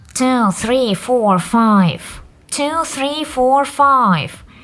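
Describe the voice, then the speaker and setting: Someone speaks in a nasal, put-on character voice at a very slow pace. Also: female-sounding voice, high pitch for a woman. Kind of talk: counting digits. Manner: demonstration with pinched nose.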